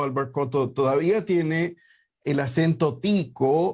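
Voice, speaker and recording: A man talks at a fairly slow pace. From Puerto Rico. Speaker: tax accountant and show host. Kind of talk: radio/live show talk. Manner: hesitant with many fillers.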